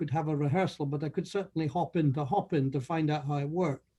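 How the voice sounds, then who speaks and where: A man's fairly high voice with a Scottish accent, a dark, mellow tone and fairly even intonation. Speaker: conference delegate. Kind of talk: testimonial.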